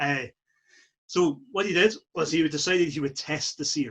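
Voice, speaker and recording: At a moderate pace, a man talks in a somewhat breathy, fairly high voice. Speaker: storyteller, historical re-enactor. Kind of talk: live storytelling to an audience.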